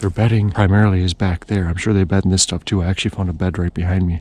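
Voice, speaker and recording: Whispering with an American accent. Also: man. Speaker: hunting video creator. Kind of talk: outdoor tutorial. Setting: outdoors in the woods.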